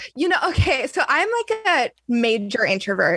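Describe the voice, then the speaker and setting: This woman has a high-pitched voice with a bright, sharp tone. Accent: American. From US West Coast, San Diego area. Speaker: singer. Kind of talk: casual interview.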